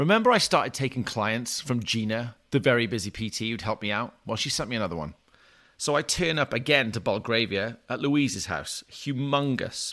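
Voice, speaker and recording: Recorded very cleanly against a silent background, a man with a Welsh accent speaks at medium pitch in a bright, sharp tone. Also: ordinary pitch variation, moderate pace. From Wales, small town. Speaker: personal trainer and podcast host. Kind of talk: storytelling monologue.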